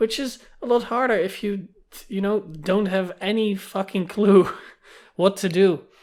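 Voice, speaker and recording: The speaker talks at a moderate pace with a Dutch accent. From Netherlands. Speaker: gaming YouTuber. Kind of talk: casual monologue vlog. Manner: animated.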